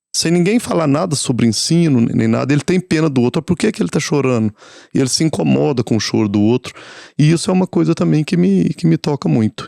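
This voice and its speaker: At a fairly quick pace, a man with a Minas Gerais accent swings his pitch very widely, his tone dark and mellow, his loudness very even, and the sound dry and close with no echo. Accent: Minas Gerais (mineiro). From Minas Gerais, Brazil. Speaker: palliative care nurse. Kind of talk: podcast interview. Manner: halting, many fillers and repetitions.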